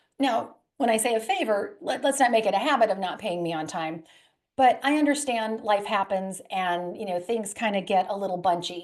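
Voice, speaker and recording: A woman's lively intonation stands out over a quiet background. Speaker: credit specialist, presenter. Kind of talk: webinar presentation. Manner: fast.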